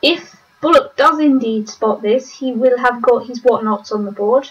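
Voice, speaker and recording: A woman with a British accent speaks at a fairly slow pace in a high pitch, keeping her intonation fairly even. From Britain. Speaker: online game commentator. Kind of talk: live commentary. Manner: casual, hesitant with many fillers.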